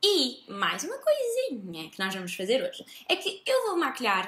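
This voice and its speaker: A woman speaks in a raised, projected voice at a moderate pace. Room echo is audible. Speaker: beauty vlogger. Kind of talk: casual vlog chat. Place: home room.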